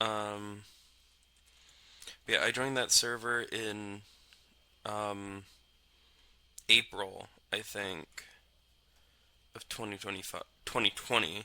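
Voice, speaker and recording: Very slowly and in a flat monotone, a man with a fairly low, bright, sharp voice speaks between long, frequent pauses, his loudness swinging widely. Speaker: gaming podcaster. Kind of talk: casual gameplay commentary. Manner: halting, many filler ums.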